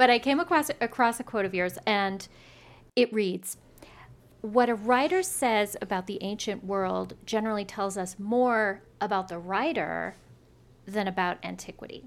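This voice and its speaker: In a normal speaking voice with an American accent, a woman of medium pitch speaks at a moderate pace with ordinary pitch variation on a very clean recording with a silent background. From Richmond, Indiana. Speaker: podcast host. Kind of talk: interview.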